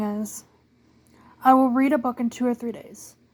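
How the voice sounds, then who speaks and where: A woman with a high pitch talks at a moderate pace, keeping her intonation fairly even. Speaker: book youtuber. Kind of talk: casual monologue.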